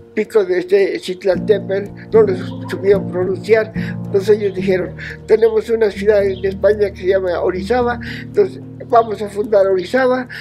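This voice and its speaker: Moderately paced speech over clear background music. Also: man. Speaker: mountain guide. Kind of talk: interview answer. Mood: warm, smiling storytelling.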